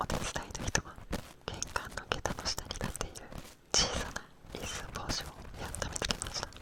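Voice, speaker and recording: Someone whispers at a moderate pace, with long, frequent pauses. Background noise is noticeable. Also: man. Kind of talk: whispered storytelling reading of a folk tale with ear cleaning. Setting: binaural microphone, studio ASMR recording. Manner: whispered, close to the microphone.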